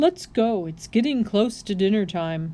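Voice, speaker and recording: A woman's put-on character voice at medium pitch, with lively intonation and a moderate pace. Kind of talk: read-aloud storytelling. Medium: read story. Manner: hearty, booming.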